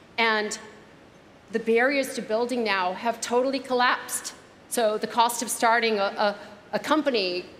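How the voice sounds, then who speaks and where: Amid audible room echo and noticeable background noise, a woman with an American accent speaks at a fairly high pitch, with fairly even intonation and long, frequent pauses. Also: moderate pace. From United States. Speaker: keynote speaker, startup advisor. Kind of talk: keynote speech. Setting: gala dinner stage with audience.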